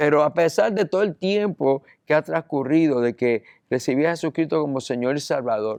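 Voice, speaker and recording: A man's intonation is lively, and the background around him is quiet. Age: 60s. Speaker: pastor. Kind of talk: sermon. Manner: halting.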